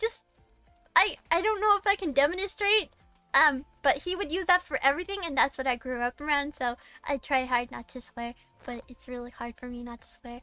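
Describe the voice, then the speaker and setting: In a slight Boston accent, a woman with a high pitch uses a raised, projected voice, an animated tone and lively intonation, her loudness swinging widely. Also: moderate pace. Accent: slight Boston accent, drops some final r. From Massachusetts, Boston area. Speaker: VTuber streamer. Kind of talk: casual livestream chat.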